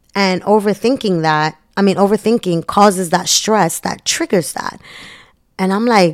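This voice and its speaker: A woman with an animated tone speaks at a medium pitch and a moderate pace, her pitch varying normally, in a very clean recording with a silent background. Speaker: podcast host. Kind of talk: solo podcast monologue.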